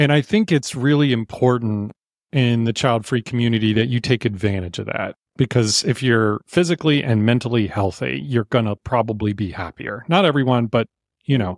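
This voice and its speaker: On a very clean recording with a silent background and a dry, close sound with no echo, a normal speaking voice carries ordinary pitch variation. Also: man, medium pitch for a man, moderate pace. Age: 50s. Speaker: podcast co-host. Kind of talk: casual chat.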